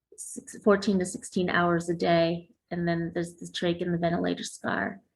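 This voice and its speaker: A woman speaks at a moderate pace with a fairly low, somewhat breathy voice. Her intonation stays fairly even. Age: 40s. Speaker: covid survivor and speaker. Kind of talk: interview. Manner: halting.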